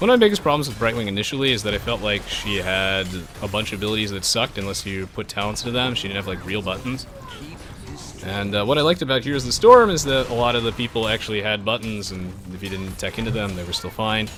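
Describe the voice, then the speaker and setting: Over music in the background, a man speaks at a very fast pace with ordinary pitch variation. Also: fairly low pitch for a man. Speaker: gaming streamer. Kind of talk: live gameplay commentary. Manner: animated.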